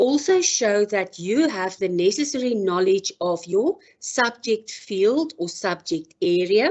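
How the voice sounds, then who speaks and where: A woman with a South African accent talks at a very slow pace. Her pitch is fairly high and her intonation lively. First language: Afrikaans. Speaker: professor. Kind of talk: lecture. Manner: formal.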